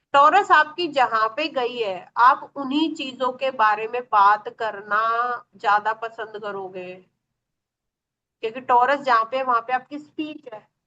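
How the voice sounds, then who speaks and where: Her voice is high-pitched and bright and sharp in tone, as this woman's loudness swings widely and her pitch varies in an ordinary way. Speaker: astrology teacher. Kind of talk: online class lecture. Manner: animated.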